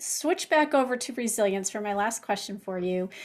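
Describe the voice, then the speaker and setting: A woman with an ordinary speaking voice, fairly high in pitch, at a moderate pace, in a very clean recording with a silent background. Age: 60s. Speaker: podcast host and cookbook author. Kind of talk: interview conversation.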